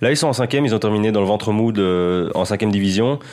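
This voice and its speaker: This man's voice sits fairly low. He talks at a very fast pace. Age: 20s. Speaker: freelance football journalist. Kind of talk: casual chat.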